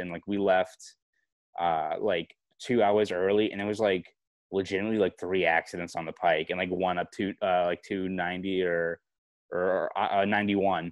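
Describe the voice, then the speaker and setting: In a Boston accent, a man speaks at a moderate pace with a very deep, low pitch and monotone, flat intonation. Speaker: sports journalist. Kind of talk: podcast interview answer.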